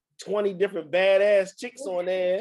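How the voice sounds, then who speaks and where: Moving at a moderate pace, the voice has a dark, mellow tone and a Baltimore accent. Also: man. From Baltimore, US. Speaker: poet and author.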